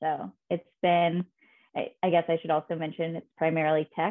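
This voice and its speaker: An ordinary speaking voice with an American accent moves at a moderate pace with fairly even intonation. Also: woman. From Indiana, US Midwest. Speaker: PR professional in tech. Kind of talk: casual interview.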